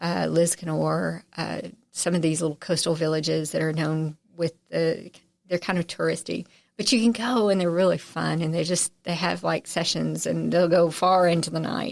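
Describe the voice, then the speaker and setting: At a moderate pace, the speech comes through in a very clean recording with a silent background. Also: woman. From Texarkana, Texas/Arkansas border, US South. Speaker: journalist, radio voice and harpist. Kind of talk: interview conversation. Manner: animated, chatty with frequent fillers and restarts.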